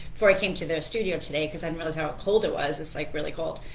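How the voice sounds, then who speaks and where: A woman speaks with fairly low pitch and fairly even intonation. There is audible room echo and noticeable background noise. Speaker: radio host and financial planner. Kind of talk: radio talk show monologue. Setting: radio studio. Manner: fast; chatty, with many fillers.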